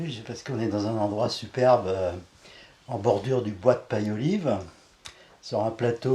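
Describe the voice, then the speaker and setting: A medium-pitched man with a dark, mellow, somewhat breathy tone and ordinary pitch variation. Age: 70s. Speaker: eco-village resident. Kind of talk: casual interview.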